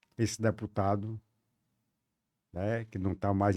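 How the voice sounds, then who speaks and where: In a very clean recording with a silent background and a dry, close sound with no echo, a man speaks very slowly in a fairly low pitch with a dark, mellow tone. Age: 80s+. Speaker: former city councillor and political activist. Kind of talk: interview testimony.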